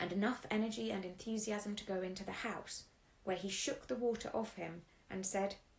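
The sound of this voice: Intonation stays fairly level in this unforced reading voice.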